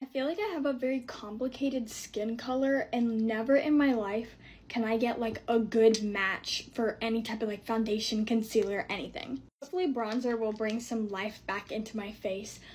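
A woman's somewhat breathy voice moves at a moderate pace with ordinary pitch variation and hardly any pauses. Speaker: content creator. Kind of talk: casual vlog. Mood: anxious, flustered. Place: home room. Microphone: phone near.

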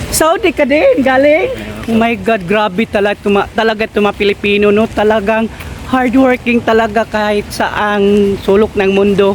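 A woman talks at a moderate pace with a fairly high pitch and ordinary pitch variation. Her loudness stays very even, and there is noticeable background noise. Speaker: vlogger. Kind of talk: casual vlog and street interview.

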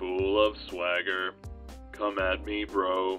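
Clear music sits in the background while a man speaks at a very slow pace and a very deep, low pitch. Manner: flat monotone, announces emotion before each line.

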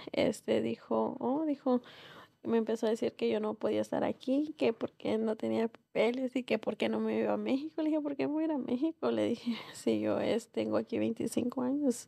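A woman talks at a moderate pace, with a quiet background behind her. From northern Mexico, Nuevo Laredo; Mexico. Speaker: restaurant owner; guest. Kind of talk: interview. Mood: calm, reflective. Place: studio. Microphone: studio mic.

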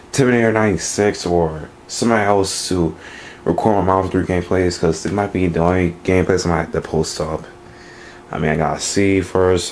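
Over light background noise, a man with a very deep, low voice talks at a fairly quick pace with fairly even intonation. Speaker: gamer showing his setup. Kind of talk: casual vlog chat. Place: home room. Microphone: phone near.

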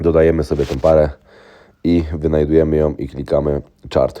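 Speaking at a moderate pace, a man has a very deep, low pitch, a dark, mellow tone and monotone, flat intonation. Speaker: trading educator. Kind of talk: tutorial.

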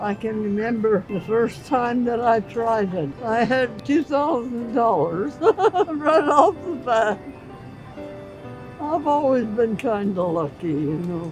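Clear music plays behind a woman with an American accent who speaks at a very slow pace, the sound dry with no echo. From Southern California. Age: 80s+. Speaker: birthday guest. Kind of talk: interview answer. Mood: warm, grateful, reminiscing.

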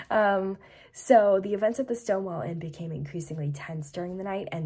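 Somewhat breathy, a woman with an American accent speaks with ordinary pitch variation. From United States. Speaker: history YouTuber. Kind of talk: casual educational talk to camera.

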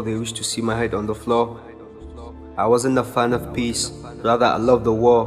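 A man speaks in a medium pitch, his intonation fairly even, as music plays behind him. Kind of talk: spoken word poetry.

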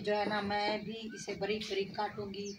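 With audible room echo, a woman speaks at a moderate pace with little pitch movement.

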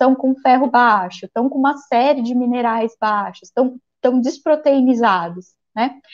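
The voice moves at a fairly slow pace over a quiet background. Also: woman. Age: 40s. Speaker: physician; guest. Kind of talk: interview. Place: home room. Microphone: earbuds.

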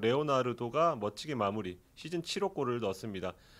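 Very wide pitch swings run through this man's speech. His pace is moderate. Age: 40s. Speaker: sports journalist. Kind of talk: sports review discussion. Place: studio. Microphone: studio mic.

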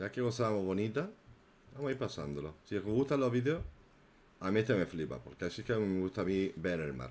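Talking at a very fast pace, a man with a fairly low pitch makes very wide pitch swings. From inland Spain. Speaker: YouTube gossip commentator. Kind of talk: live stream chat and commentary. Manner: animated. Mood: indignant in places.

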